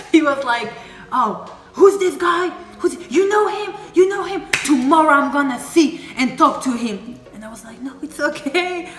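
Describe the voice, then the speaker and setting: An animated woman with a French accent, high pitch, lively intonation and big swings in loudness at a moderate pace, over noticeable background noise. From Paris, France. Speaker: YouTuber. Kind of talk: casual chat.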